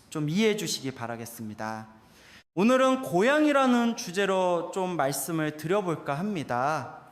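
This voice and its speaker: At a fairly slow pace, a man speaks at a high pitch with very wide pitch swings. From South Korea, Incheon. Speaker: Buddhist monk, temple abbot. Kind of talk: dharma talk.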